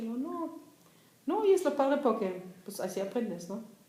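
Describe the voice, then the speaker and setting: Audible room echo surrounds the speech, along with noticeable background noise. The speaker is a woman. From East Germany, Berlin. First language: German (speaking Spanish). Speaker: writer. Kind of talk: casual talk.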